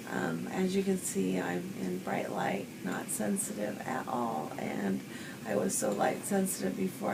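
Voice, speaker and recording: Noticeable background noise and audible room echo accompany a woman speaking fairly slowly. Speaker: patient. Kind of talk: testimony. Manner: soft-spoken; halting.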